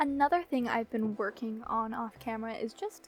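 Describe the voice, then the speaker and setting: With a playful tone, a woman speaks at a fairly high pitch, sounding somewhat breathy. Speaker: gaming YouTuber. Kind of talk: gameplay commentary. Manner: casual, playful.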